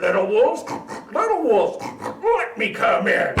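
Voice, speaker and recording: A man talks at a moderate pace in a put-on character voice. Background noise is clearly audible. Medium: read story. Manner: grunting, menacing.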